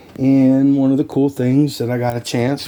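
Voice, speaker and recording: A man's fairly high voice at a moderate pace, amid noticeable background noise. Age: 60s. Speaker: YouTuber and realtor. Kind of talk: casual vlog talk. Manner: enthusiastic.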